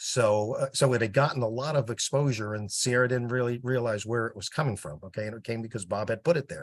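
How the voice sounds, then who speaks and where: Against a quiet background, a man with a New Jersey accent talks very fast. His pitch varies in an ordinary way. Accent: New Jersey (US Northeast). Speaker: project volunteer with sales background. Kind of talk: casual meeting update.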